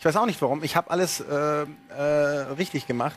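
Animated and fairly high in pitch, a man speaks at a moderate pace over light background noise. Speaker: TV gaming show host. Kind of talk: live TV show presentation. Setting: TV studio. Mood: playful, joking. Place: studio. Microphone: lapel.

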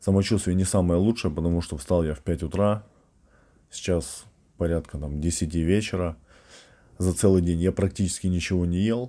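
A man's very deep, low voice, dark and mellow in tone, at a moderate pace with long, frequent pauses, fairly even intonation and a quiet background. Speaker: strength athlete and fitness coach; strongman trainer vlogger. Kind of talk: casual vlog monologue. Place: home room. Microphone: webcam.

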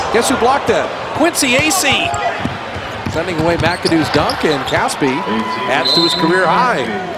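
The speaker goes at a fairly slow pace against loud background noise. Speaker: play-by-play announcer. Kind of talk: live basketball commentary. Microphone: headset.

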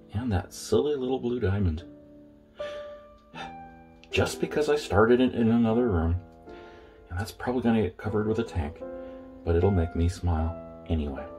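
A fairly low-pitched male voice at a fairly quick pace, with clear music in the background. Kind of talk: casual vlog chat. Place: bathroom. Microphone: phone near.

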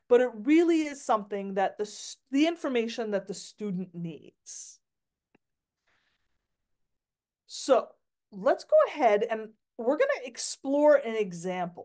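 With a quiet background, a woman speaks at a fairly slow pace in a high voice with lively intonation. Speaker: workshop presenter for teachers. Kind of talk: online workshop presentation. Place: home room. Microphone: video call.

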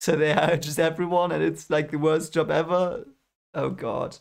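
A man talks at a fairly slow pace, and the background stays quiet. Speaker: reaction video host. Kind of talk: casual reaction commentary. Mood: amused, playful. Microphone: headset.

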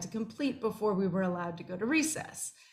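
This woman's voice has a somewhat breathy quality. She talks at a very fast pace. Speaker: professor giving a short talk. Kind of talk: personal talk with slides. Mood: warm, smiling, fond. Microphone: webcam.

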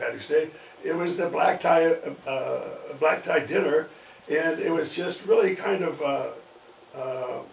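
Light background noise and audible room echo around a man speaking fairly slowly. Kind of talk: interview answer. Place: home room.

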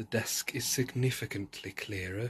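A man's fairly low voice with a husky, rough edge, a fairly bright tone, ordinary pitch variation and a moderate pace

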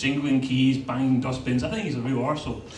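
A male speaker amid noticeable background noise. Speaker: stand-up comedian. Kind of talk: stand-up comedy routine. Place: stage.

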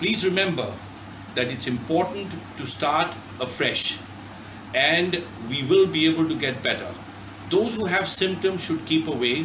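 A high-pitched man at a fairly slow pace, with ordinary pitch variation, long, frequent pauses and noticeable background noise. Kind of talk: public health message. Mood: earnest, reassuring. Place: home room. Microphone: phone near.

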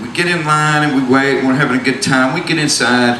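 Amid light background noise and audible room echo, a man with an American accent speaks at a medium pitch with fairly even intonation. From US South. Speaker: storyteller. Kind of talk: stage storytelling. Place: stage. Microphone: handheld.

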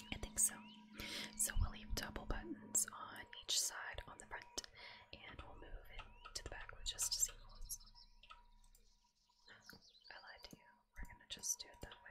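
A woman whispers at a fairly slow pace with long, frequent pauses. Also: big swings in loudness. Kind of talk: casual talk to camera, gameplay commentary. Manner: soft-spoken, whispered, relaxing.

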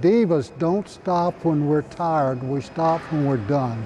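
A man at a fairly high pitch and very slow pace, with light background noise. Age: 80s+. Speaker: personal trainer. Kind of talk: coaching a client at the gym. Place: gym. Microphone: lapel.

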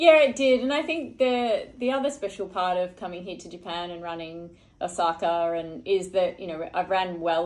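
With an Australian accent, a woman talks in a fairly low pitch at a moderate pace, hardly pausing at all. Her intonation is lively and her loudness swings widely. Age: 40s. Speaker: Olympic marathon runner; guest. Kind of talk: casual interview. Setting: hotel room. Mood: relaxed, reflective. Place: home room. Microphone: studio mic.

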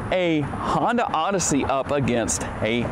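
Noticeable background noise behind a man speaking. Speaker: car reviewer. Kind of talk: product review walkaround. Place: street.

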